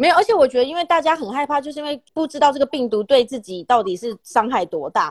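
Delivered at a very fast pace, the voice has very wide pitch swings and big swings in loudness, in a dry, close sound with no echo. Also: woman, high pitch for a woman. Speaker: podcast host. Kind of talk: casual chat.

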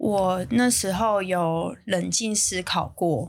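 A woman speaks at a medium pitch with ordinary pitch variation, recorded very cleanly against a silent background. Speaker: bakery chain founder. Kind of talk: interview. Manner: reading from notes at first, formal.

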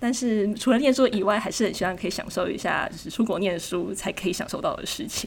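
This woman speaks very fast in a Taiwanese accent, hardly pausing at all. Her pitch is fairly high, and noticeable background noise is present. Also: ordinary pitch variation. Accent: Taiwanese Mandarin. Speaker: graduate student abroad. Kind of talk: casual interview.

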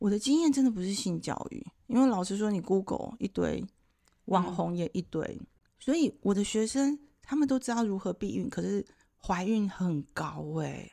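Lively intonation comes through in this woman's dark, mellow tone. The recording is very clean, with a silent background. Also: medium pitch for a woman, moderate pace. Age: 50s. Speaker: sex therapist and author. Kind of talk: casual chat. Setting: bookstore, face-to-face recording.

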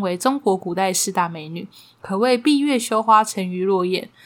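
A woman speaks at a moderate pace with a Taiwanese accent. Her pitch variation is ordinary. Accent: Taiwanese Mandarin. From Taiwan, Taipei. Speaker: podcast host. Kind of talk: casual storytelling chat.

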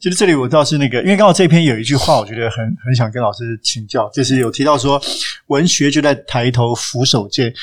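A man's medium-pitched voice at a very fast pace. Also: ordinary pitch variation. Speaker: podcast co-host. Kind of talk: interview.

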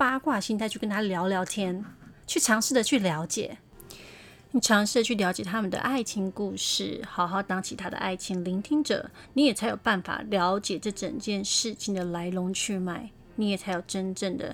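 A woman talks at a moderate pace with a medium pitch. She has a plain, everyday voice. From Taiwan, Taipei (Beitou). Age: 40s. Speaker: podcast host, advice giver. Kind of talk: casual advice monologue.

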